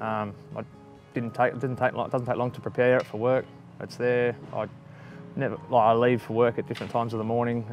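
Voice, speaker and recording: In an Australian accent, a man talks at a fairly quick pace with monotone, flat intonation. The sound is dry with no echo, and faint music plays in the background. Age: 30s. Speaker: weight loss testimonial subject. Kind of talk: testimonial interview answer. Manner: casual, conversational, hesitant. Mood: reflective, calm. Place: garden. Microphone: lapel.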